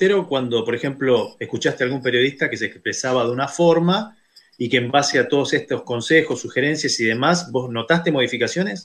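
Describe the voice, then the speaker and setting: This man, in a Rioplatense accent, talks at a fairly quick pace with hardly any pauses. His pitch is fairly high, with ordinary pitch variation. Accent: Argentine Rioplatense Spanish. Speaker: radio host. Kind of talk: interview.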